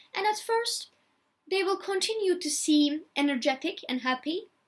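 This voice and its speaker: A woman with a non-native accent, lively intonation and a moderate pace. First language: not English. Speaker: video blogger. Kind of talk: personality type talk from notes. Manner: halting, many fillers.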